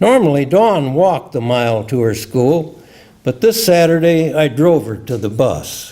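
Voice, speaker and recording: In a Midwestern American accent, the speaker talks fairly slowly with very wide pitch swings over noticeable background noise. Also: man, fairly high pitch for a man. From US Midwest, Illinois. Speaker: retired scientist and memoir writer. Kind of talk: reading aloud.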